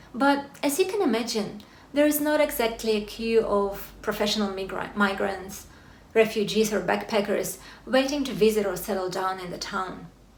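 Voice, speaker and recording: A Russian accent at a moderate pace with ordinary pitch variation, amid noticeable background noise and audible room echo. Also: woman, fairly high pitch for a woman. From Russia, Siberia. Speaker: corporate lawyer. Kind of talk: talk to an audience. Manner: formal.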